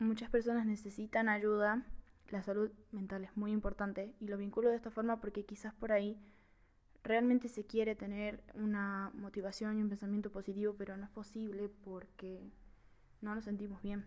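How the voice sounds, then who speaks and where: At a moderate pace, a woman speaks at medium pitch in a monotone, flat intonation while her loudness swings widely. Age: 20s. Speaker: film podcast host, communication student. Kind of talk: casual monologue film review.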